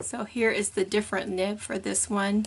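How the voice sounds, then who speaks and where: Speaking at a moderate pace, a woman holds a medium pitch in a flat monotone. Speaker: paper craft tutorial maker. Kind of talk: tutorial. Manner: casual, conversational.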